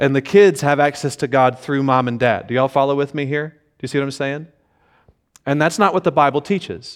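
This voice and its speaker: The speaker has an ordinary speaking voice, moving at a fairly quick pace with ordinary pitch variation. The recording is very clean, with a silent background. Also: man, fairly high pitch for a man. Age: 30s. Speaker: pastor. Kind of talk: Sunday sermon, preacher in full flow exhorting parents directly. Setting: church service with congregation. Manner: conversational with frequent repeated words and self-restarts.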